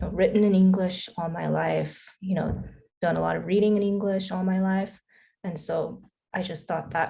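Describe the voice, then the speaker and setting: A woman speaks with a Korean accent. She goes at a fairly slow pace. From Korea, raised in US from young age. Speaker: filmmaker. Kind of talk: panel Q&A.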